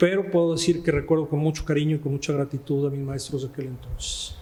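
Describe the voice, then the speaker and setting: Over noticeable background noise, a man speaks very fast at a fairly high pitch with fairly even intonation. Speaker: notary and law professor. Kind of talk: interview. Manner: halting.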